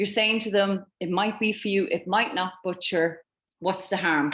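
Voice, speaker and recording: A woman speaks at a medium pitch with a slight Irish accent. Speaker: network marketing team leader. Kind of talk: online training presentation.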